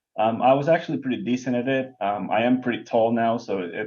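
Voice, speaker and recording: A man at a medium pitch with a Lithuanian accent, fairly quick in pace, his intonation fairly even. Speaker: bowling professional, lane technician. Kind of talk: podcast interview. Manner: frequent hesitations.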